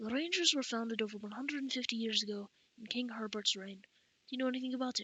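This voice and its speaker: Noticeable background noise sits under a woman talking at a very fast pace with ordinary pitch variation. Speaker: amateur audiobook narrator. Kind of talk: reading aloud. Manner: halting, with repeated words.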